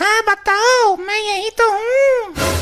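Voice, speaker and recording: A squeaky, put-on character voice from a woman, pitched extremely high. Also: fairly even intonation. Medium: comedy sketch. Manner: chatty, unfazed.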